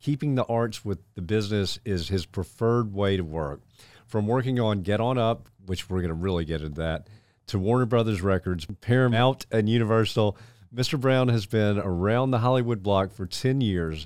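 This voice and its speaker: A man speaks in an ordinary speaking voice, fairly low in pitch, with ordinary pitch variation at a moderate pace. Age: 50s. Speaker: podcast host. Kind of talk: interview; show introduction.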